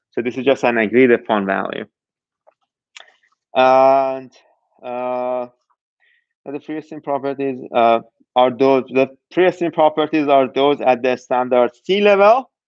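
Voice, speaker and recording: A man with a non-native accent at a fairly slow pace, with long, frequent pauses and ordinary pitch variation. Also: medium pitch for a man. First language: not English. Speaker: university lecturer. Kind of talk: lecture. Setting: online class streamed live. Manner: halting, many false starts.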